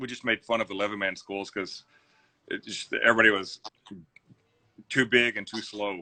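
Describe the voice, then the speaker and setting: A man with a Texan accent speaks at a fairly quick pace in a fairly low, bright, sharp voice, his intonation monotone and flat, his loudness swinging widely, with long, frequent pauses and a dry, close sound with no echo. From Zephyr, Texas. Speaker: business owner. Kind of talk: interview answer.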